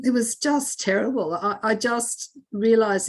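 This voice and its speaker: A woman speaks with an Australian accent and ordinary pitch variation. The background is quiet. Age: 60s. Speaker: birth mother sharing her adoption story. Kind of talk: testimony. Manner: halting, with many repeated words and fillers.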